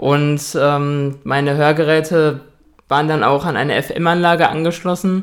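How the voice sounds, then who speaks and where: Flat and monotone, a man speaks at a fairly high pitch and a moderate pace. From Ruhr area, Germany (Dortmund). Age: 20s. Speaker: hearing-impaired guest. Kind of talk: interview.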